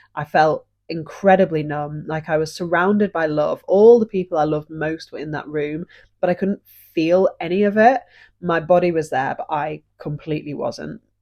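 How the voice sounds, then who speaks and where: A woman speaks with a British accent at a moderate pace, her pitch fairly low. Her pitch varies in an ordinary way against a quiet background. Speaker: podcast host. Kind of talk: personal story, podcast monologue.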